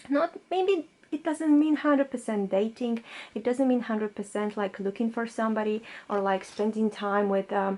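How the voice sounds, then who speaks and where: Speaking at a moderate pace, a woman uses a fairly high voice with lively intonation. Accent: non-native. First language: not English. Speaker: tarot reader. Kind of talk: pick-a-card tarot reading. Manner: halting, many fillers.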